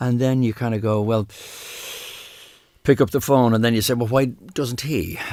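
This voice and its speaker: A man with a Dublin accent, medium pitch and a dark, mellow tone, at a moderate pace with fairly even intonation and long, frequent pauses. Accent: Irish, Dublin. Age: 60s. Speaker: singer, podcast guest. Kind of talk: casual interview about grief. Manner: halting, many false starts and repetitions.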